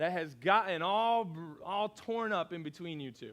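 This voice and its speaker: A man speaks loudly at a fairly slow pace. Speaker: pastor. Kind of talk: sermon.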